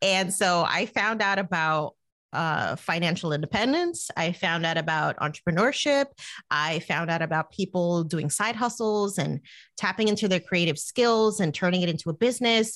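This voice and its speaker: At a moderate pace and very even loudness, a woman with an American accent talks in a medium pitch over a quiet background. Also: ordinary pitch variation. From New Jersey, US. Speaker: money coach and podcaster. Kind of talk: casual interview.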